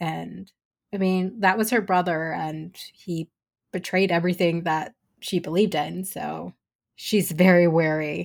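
An unremarkable speaking voice, a woman with fairly low pitch at a fairly slow pace, in a very clean recording with a silent background. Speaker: fan podcaster guest. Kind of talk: casual roundtable discussion.

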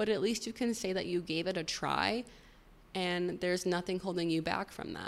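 In an American accent, a woman with an ordinary speaking voice talks at a fairly low pitch with fairly even intonation. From Chicago suburbs. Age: 20s. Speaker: podcast host. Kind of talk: solo monologue podcast.

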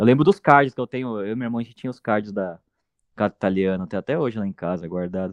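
A man's fairly low voice at a very fast pace, with ordinary pitch variation and big swings in loudness. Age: 30s. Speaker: football coach, journalist and punk band singer. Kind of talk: casual chat.

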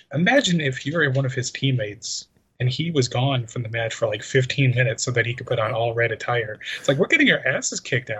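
Speaking at a fairly quick pace in an American accent, a man has a medium pitch, ordinary pitch variation and a plain, everyday voice. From Chicago, US Midwest. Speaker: podcast co-host. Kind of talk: casual chat. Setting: video call.

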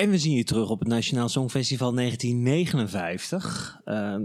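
A man talks in an ordinary speaking voice at medium pitch. His pitch variation is ordinary. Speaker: podcast host.

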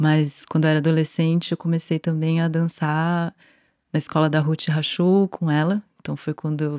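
In a São Paulo accent, a woman with a very deep, low pitch speaks at a moderate pace in a monotone, flat intonation, her dark, mellow tone captured on a very clean recording with a silent background and a dry, close sound with no echo. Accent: Brazilian Portuguese, São Paulo (paulistano). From Brazil, São Paulo city. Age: 40s. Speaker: dancer and choreographer. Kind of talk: casual interview chat.

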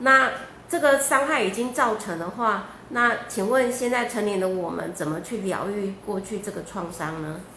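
With lively intonation and a medium pitch, a woman speaks at a moderate pace amid audible room echo and noticeable background noise. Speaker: event moderator. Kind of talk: Q&A moderation. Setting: livestream studio.

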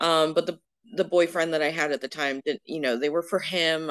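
A woman with an American accent and a very deep, low pitch talks at a fairly quick pace. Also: dry, close sound with no echo. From Florida. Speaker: plus-size model. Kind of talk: casual interview chat. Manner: loud.

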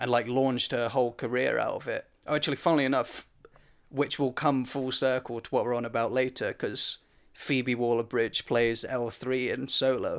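A man with a British accent, medium pitch and a flat monotone at a moderate pace, in a very clean recording with a silent background. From Britain. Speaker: podcast co-host. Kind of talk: casual chat.

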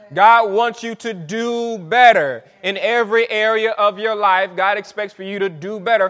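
This man's voice sits high for a man, with an animated tone, ordinary pitch variation and a fairly slow pace. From Saint Petersburg, Florida. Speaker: pastor. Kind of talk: sermon, preacher in full flow, call-and-response with congregation. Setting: church with congregation. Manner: animated, exuberant, fervent, rhythmic repetition.

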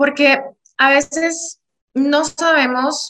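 The woman's tone is bright and sharp. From Venezuela. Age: 30s. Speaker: podcast co-host. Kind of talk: casual chat.

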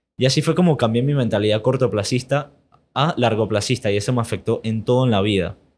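The recording is very clean, and the background is silent. A man speaks very fast. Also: medium pitch for a man, ordinary pitch variation. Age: 20s. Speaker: investing educator and entrepreneur. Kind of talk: interview.

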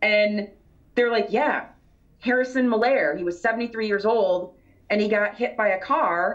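Speaking at a fairly slow pace with very even loudness, a woman with a fairly high pitch and an American accent shows ordinary pitch variation. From Michigan. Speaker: author and paranormal researcher, library worker. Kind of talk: interview, conversational storytelling. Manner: articulate, engaging speaker.

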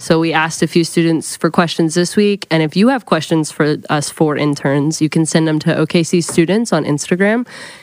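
In an American accent, a woman speaks at a fairly quick pace. Her pitch is very deep and low, with ordinary variation. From Oklahoma City. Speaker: church ministry intern. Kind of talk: casual chat.

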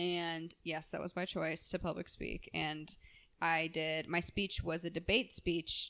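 A woman speaks in a fairly low voice with vocal fry. Her intonation stays monotone and flat. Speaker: podcast host. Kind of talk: casual interview chat.

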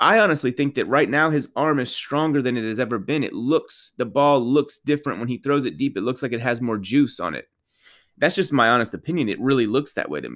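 Over a silent background in a very clean recording, a man talks at a very fast pace in an animated tone. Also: medium pitch for a man, ordinary pitch variation. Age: 30s. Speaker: sports podcaster. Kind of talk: solo commentary monologue.

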